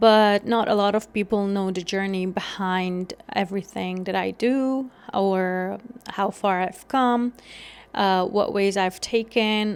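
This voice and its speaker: A woman speaks at a medium pitch with an Afghan accent. Her intonation is monotone and flat. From Afghanistan (Kabul). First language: Dari. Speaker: podcast host. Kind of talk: solo podcast monologue. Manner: some hesitations and fillers.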